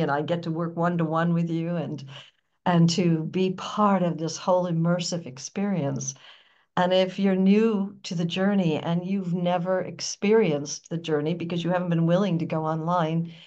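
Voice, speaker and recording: An American-accented woman at a fairly low pitch and moderate pace, with fairly even intonation and audible room echo. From US, New York. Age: 70s. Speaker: spiritual teacher. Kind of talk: interview.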